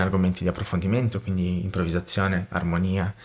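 Very fast speech comes from a man with a very deep, low voice. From Brazil. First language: Portuguese (speaking Italian). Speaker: musician and music producer; interview guest, music teacher. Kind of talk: interview conversation. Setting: home studio. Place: studio. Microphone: studio mic.

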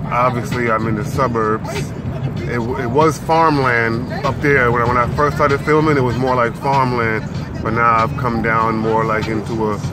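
A man speaks at a fairly slow pace over loud background noise. The sound is dry with no echo. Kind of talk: casual vlog chat. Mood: relaxed, amused. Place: car. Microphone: phone near.

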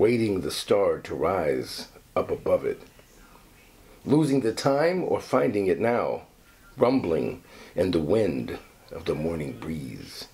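A man talks at a very slow pace. He leaves long, frequent pauses. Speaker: actor reading poetry. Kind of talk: reading aloud a poem, expressive stage-actor delivery. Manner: casual, chatty between poem readings. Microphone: phone near.

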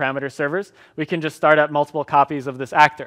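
A man speaks at a very fast pace over a quiet background. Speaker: conference presenter. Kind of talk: technical talk with live demo. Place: hall.

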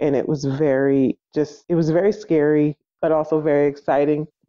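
This woman has a very deep, low pitch and an American accent. Her intonation stays fairly even. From New Jersey. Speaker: unschooling parent. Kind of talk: interview.

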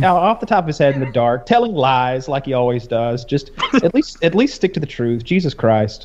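At a moderate pace, a man talks. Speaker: podcast co-host. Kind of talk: casual podcast commentary. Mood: annoyed, mocking. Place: home room.

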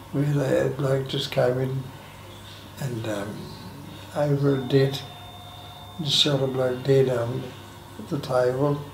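A man speaks very slowly in an Australian accent, his intonation monotone and flat. Light background noise and audible room echo are present. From Sydney, Australia. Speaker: aged care resident, former lifesaver and sales career. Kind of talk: oral history interview answer. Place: home room. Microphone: camera far.

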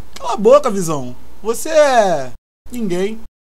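A cartoonish character voice, fairly high in pitch, moves slowly with very wide pitch swings. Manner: slangy, mocking.

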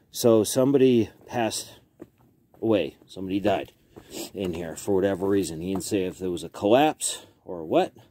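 Light background noise sits behind a man's dark, mellow voice with a fairly low pitch and ordinary pitch variation. He speaks at a moderate pace, and the sound is dry with no echo. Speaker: explorer vlogger. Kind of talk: casual vlog chat. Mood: cautious, curious. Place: open country. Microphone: phone near.

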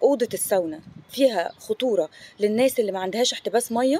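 Lively in intonation, a woman talks at a fairly quick pace in a dry sound with no echo. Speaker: fitness coach. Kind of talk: casual informative vlog talk. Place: garden. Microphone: phone near.

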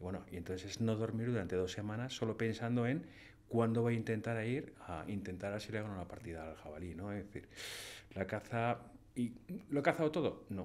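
This man has a normal speaking voice with a fairly low pitch. He talks at a fairly quick pace with ordinary pitch variation. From Spain, Madrid. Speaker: painter and hunter; podcast guest. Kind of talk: casual interview. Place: studio. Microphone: studio mic.

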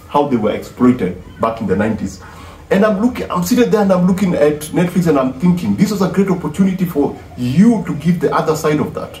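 A man's voice with light background noise and audible room echo. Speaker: music commentator. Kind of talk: casual vlog commentary. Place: home room. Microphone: phone near.

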